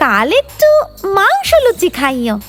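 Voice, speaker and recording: A female-sounding cartoonish character voice at an extremely high pitch plays over faint music in the background. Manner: greedy, whining.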